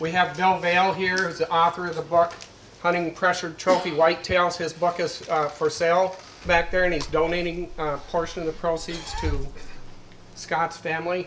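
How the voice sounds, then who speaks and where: There is light background noise as a man speaks at a moderate pace in a high voice with monotone, flat intonation. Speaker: event host introducing panel. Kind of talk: public address introduction. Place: tent. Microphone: handheld.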